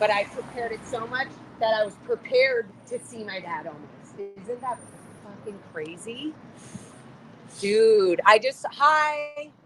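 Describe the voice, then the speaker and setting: A woman at a fairly high pitch and fairly slow pace, with lively intonation, an animated tone, big swings in loudness and long, frequent pauses, over noticeable background noise. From US, raised in Scientology in Los Angeles. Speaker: former Scientologist protester. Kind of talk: emotional live street conversation. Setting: outdoors at a protest, livestream.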